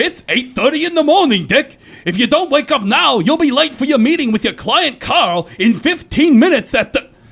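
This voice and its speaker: A man in a put-on character voice speaks with a stern tone at an extremely high pitch and a moderate pace, with hardly any pauses. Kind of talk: 1950s radio drama courtroom parody. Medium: audio drama. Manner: stern, authoritative.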